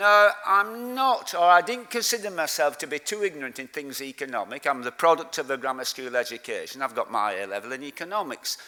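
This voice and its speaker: In a Lancashire accent, a man speaks at a fairly high pitch with a bright, sharp tone. His pitch swings very widely, and there are hardly any pauses. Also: fairly quick pace. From Lancashire, northern England. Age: 60s. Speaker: community activist. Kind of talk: conference speech.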